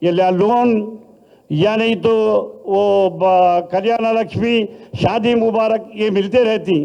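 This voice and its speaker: Pitch runs high in this man's speech. The intonation is fairly even. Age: 70s. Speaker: politician. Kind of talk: political speech. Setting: party meeting hall.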